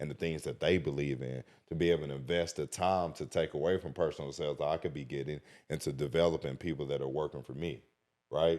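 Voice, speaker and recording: A man's very deep, low voice with a dark, mellow tone moves at a fairly quick pace. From small country town. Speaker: podcast host interviewed as guest. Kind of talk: casual interview. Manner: animated, passionate; loud when excited.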